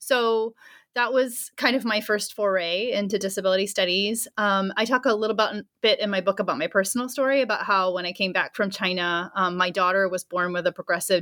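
Bright and sharp in tone, a woman talks at a fairly quick pace with hardly any pauses and ordinary pitch variation, the sound dry and close with no echo. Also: medium pitch for a woman, very clean recording, silent background. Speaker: anthropologist and author. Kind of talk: interview answers.

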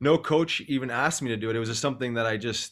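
A very fast delivery in a Canadian Prairies accent with fairly even intonation. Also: man. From Canada, Winnipeg, Manitoba. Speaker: former pro hockey player, nonprofit co-founder. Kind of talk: interview.

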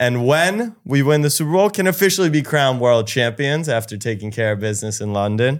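An unremarkable speaking voice with lively intonation, on a very clean recording with a silent background. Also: man. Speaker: podcast co-host. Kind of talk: casual podcast chat.

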